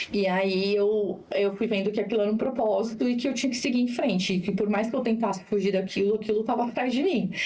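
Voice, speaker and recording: A woman at a fairly quick pace, with fairly even intonation, amid noticeable background noise and audible room echo. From Brazil, São Paulo coast (São Vicente). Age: 40s. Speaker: social project founder and political candidate. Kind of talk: podcast interview, personal testimony. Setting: studio.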